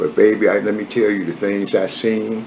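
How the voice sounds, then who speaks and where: A man with an American accent at a moderate pace, against noticeable background noise. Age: 70s. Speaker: former prisoner, barber. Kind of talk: interview, life story. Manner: halting.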